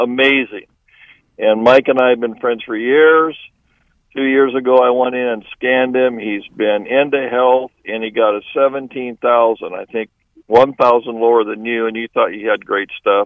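At a moderate pace, a man speaks in a medium pitch. His intonation is monotone and flat. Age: 70s. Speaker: certified supplement nutritionist. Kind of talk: sales pitch in radio interview. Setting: phone call.

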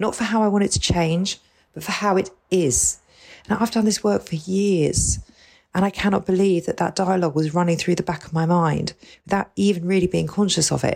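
A woman with a fairly low pitch talks at a fairly quick pace, with a normal speaking voice. Her pitch rises and falls in an ordinary way. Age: 40s. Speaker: podcast co-host. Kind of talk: casual chat.

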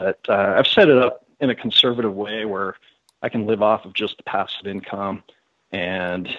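At a moderate pace and with fairly even intonation, this is a plain, everyday voice. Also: man. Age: 30s. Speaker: former financial planner. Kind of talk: interview.

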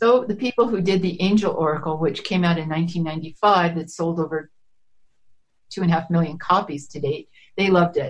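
Somewhat breathy, a woman speaks at a fairly low pitch with ordinary pitch variation. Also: moderate pace. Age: 70s. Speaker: chakra and energy healing teacher. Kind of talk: interview.

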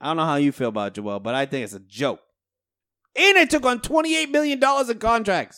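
A man talks with an American accent. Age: 20s. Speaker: sports podcast co-host. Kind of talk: casual chat.

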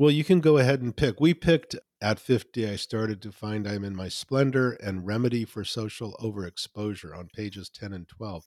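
A man's normal speaking voice at a fairly low pitch and a moderate pace, with hardly any pauses, ordinary pitch variation, big swings in loudness, and a dry, close sound with no echo. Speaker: podcast host and magazine editor. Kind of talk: interview conversation.

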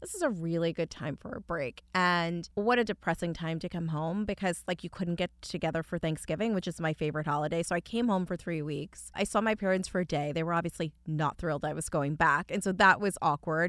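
A woman's fairly low voice, a plain, everyday voice with an American accent, at a fairly quick pace, on a very clean recording with a silent background. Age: 40s. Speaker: entrepreneur and author. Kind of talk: interview.

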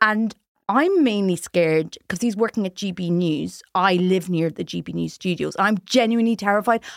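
Recorded very cleanly against a silent background, a woman with an Irish accent speaks at medium pitch with ordinary pitch variation, the sound dry and close with no echo. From Ireland. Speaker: comedian. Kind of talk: casual chat. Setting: studio.

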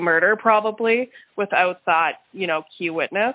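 In a Canadian accent, a woman talks at a moderate pace with medium pitch, ordinary pitch variation and a plain, everyday voice. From Winnipeg, Manitoba, Canada. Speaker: lawyer and comedian. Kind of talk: interview testimony.

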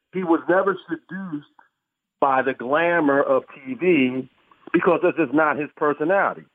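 A man with an American accent and an unremarkable speaking voice talks at a moderate pace, his fairly high pitch showing ordinary variation. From Philadelphia. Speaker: author and sports writer. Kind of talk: interview.

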